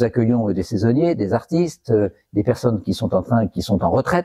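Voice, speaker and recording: In a dry, close sound with no echo, a man of medium pitch speaks with a dark, mellow tone and lively intonation. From northern France, Valenciennes. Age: 60s. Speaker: retired business executive. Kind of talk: personal testimony interview. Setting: in a restored chapel. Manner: hesitant, many fillers.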